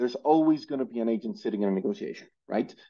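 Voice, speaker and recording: A man speaks with a Spanish accent. His pitch is medium. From Colombia. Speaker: football transfer platform executive. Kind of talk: interview. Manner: halting, many repetitions.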